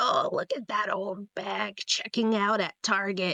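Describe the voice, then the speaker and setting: A quiet, raspy, female-sounding voice at a medium pitch puts on a character voice, moving at a fairly slow pace. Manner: cranky.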